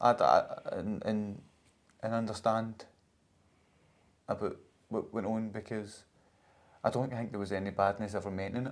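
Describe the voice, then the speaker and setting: A man speaks with fairly even intonation and long, frequent pauses. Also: fairly low pitch for a man, moderate pace. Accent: Scottish. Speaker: podcast host. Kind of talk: casual podcast conversation.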